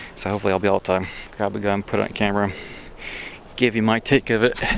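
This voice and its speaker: Noticeable background noise sits behind a man who speaks at a fairly quick pace in a fairly low voice. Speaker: gun channel vlogger. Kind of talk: walking vlog tour. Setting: outdoors. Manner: not loud.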